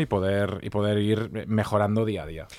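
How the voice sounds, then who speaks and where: A man speaks at a very slow pace with a fairly low pitch. The recording is very clean, with a silent background. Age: 40s. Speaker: journalist and podcaster. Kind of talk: interview. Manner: halting.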